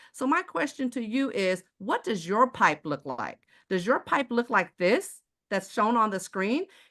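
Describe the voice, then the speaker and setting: Over a quiet background, a woman with an American accent talks fairly slowly in a fairly high, animated voice with lively intonation. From Texas, Houston. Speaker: sales presenter. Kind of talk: sales pitch.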